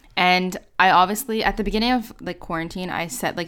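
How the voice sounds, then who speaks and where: A woman with a plain, everyday voice at a medium pitch and a fairly quick pace, on a very clean recording with a silent background. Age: 20s. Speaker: university student and YouTuber. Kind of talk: interview.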